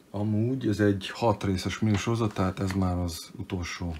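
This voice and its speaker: A man speaks at a very deep, low pitch. His voice is somewhat breathy, with fairly even intonation. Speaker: comic book collector youtuber. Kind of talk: unboxing show-and-tell. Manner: casual, hesitant with fillers; brisk.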